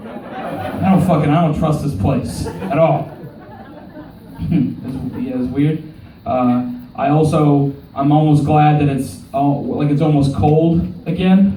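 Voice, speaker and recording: With an American accent and lively intonation, a man with a fairly high pitch speaks at a very slow pace, taking long, frequent pauses, amid audible room echo and noticeable background noise. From Oklahoma. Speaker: stand-up comedian. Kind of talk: stand-up. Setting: stage with audience. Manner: animated.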